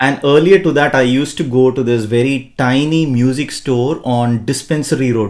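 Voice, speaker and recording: A man with a Tamil accent, medium pitch, fairly even intonation, a moderate pace and hardly any pauses. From India, Bangalore. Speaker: podcast host. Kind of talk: podcast interview.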